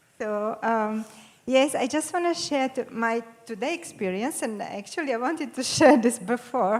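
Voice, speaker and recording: The voice has a Croatian accent and ordinary pitch variation. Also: woman, high pitch for a woman, moderate pace. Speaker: audience member. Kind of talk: personal sharing.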